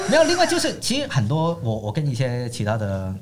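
A somewhat breathy voice at a fairly quick pace, with audible room echo. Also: man. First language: Cantonese (speaking Chinese). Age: young. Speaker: economist. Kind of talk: casual interview chat.

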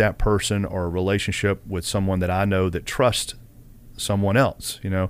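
A man with a Southern US accent and a fairly low pitch talks at a fairly quick pace. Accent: Southern US (Georgia). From US South, Kennesaw, Georgia. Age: 40s. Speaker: college football head athletic trainer. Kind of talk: podcast interview.

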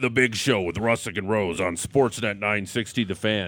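A man does a booming, put-on character voice at a fairly low pitch. He keeps a moderate pace. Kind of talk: announcer.

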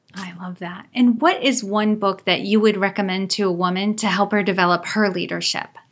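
In an ordinary speaking voice, a woman with a medium pitch talks at a fairly quick pace with hardly any pauses, fairly even intonation and big swings in loudness. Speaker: podcast host. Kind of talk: interview.

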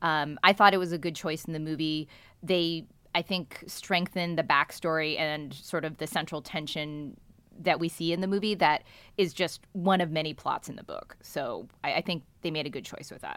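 In an American accent, a woman with a normal speaking voice talks at a moderate pace and a fairly low pitch, with fairly even intonation and big swings in loudness, on a very clean recording with a silent background. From US, San Francisco Bay Area. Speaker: newspaper columnist and novelist. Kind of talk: casual chat.

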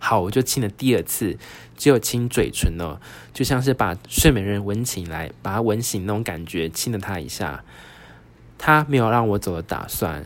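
This man talks at a moderate pace with a Taiwanese accent. His pitch is fairly low and his intonation lively. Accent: Taiwanese Mandarin. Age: 30s. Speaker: podcast host. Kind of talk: solo storytelling podcast. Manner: animated.

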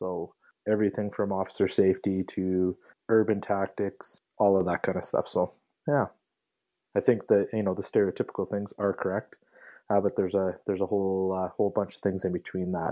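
A man with a western Canadian accent talks at a fairly quick pace. His fairly low voice stays monotone and flat. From Calgary, Alberta, Canada. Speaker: police trainer. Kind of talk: interview conversation. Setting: phone call.

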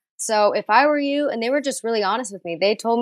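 A woman with an American accent uses a normal speaking voice. She talks at a fairly quick pace with ordinary pitch variation. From Texas. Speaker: actress. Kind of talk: casual chat.

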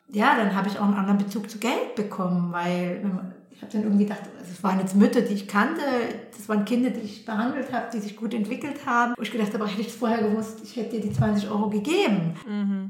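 A woman's fairly high voice at a very fast pace, fairly even intonation, big swings in loudness, audible room echo and noticeable background noise. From Germany. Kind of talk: interview. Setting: at home in her flat.

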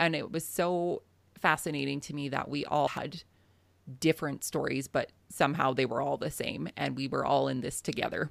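A western Canadian accent on a very clean recording with a silent background. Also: woman, moderate pace. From southern Alberta, Canada. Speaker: farmer and podcaster. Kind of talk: interview.

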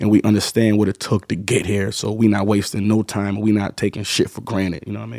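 An unremarkable speaking voice: a man at a fairly low pitch, fairly quick, with fairly even intonation, in a very clean recording with a silent background. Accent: American. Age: 30s. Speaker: rapper. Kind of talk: casual interview.

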